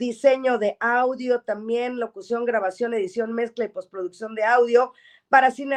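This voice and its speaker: In a quiet background, a woman speaks. She has a normal speaking voice, fairly high in pitch. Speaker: radio show host. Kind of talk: program host introducing a guest.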